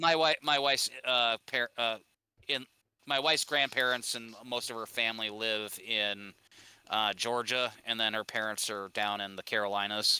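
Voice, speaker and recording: A man with an Upper Midwest accent, moderate pace and fairly even intonation. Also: medium pitch for a man, dry, close sound with no echo. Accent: Upper Midwest American. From Minnesota. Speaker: podcast guest. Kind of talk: casual chat. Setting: live stream podcast.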